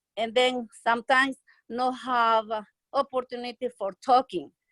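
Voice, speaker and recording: A woman with a Spanish accent at a high pitch, with fairly even intonation and a moderate pace, in a dry, close sound with no echo. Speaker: nursing home worker. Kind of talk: testimony. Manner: halting.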